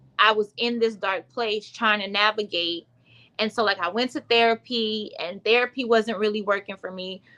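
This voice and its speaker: The tone is bright and sharp, with an American accent. The pace is moderate. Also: woman, fairly high pitch for a woman. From US South. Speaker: womb wellness coach, author. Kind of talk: livestream testimony. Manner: casual, filler-heavy.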